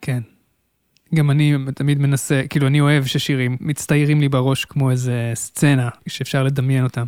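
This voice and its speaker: Keeping a very even loudness, a man speaks at a moderate pace and a fairly high pitch with monotone, flat intonation. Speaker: podcast host. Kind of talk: interview. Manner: formal host voice.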